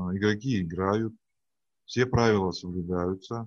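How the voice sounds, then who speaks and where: A man talks at a very slow pace. His voice sits fairly low. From Siberia, Russia. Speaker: business trainer and tournament judge. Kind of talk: interview. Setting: video call.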